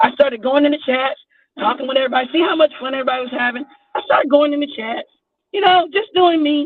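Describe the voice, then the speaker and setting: Lively in intonation and high in pitch, a woman with an American accent talks at a very fast pace with long, frequent pauses. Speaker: YouTube livestreamer. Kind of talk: casual chat.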